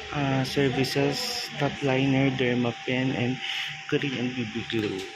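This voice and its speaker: Over music in the background and audible room echo, a man talks at a very slow pace in a monotone, flat intonation. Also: medium pitch for a man. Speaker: vlogger. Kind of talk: vlog narration. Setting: brow salon.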